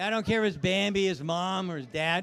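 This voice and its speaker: Speaking at a moderate pace, a man uses a high voice with lively intonation. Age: 70s. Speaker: live streamer covering a car launch event. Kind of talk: live walkthrough and casual chat with viewers. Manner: casual, halting with fillers.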